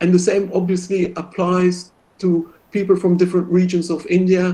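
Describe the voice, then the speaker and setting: A man with a non-native accent speaks at a moderate pace in a high voice. His tone is dark and mellow, and his intonation stays fairly even. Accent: foreign accent in English. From Belgium. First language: French. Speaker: professor. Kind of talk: lecture Q&A.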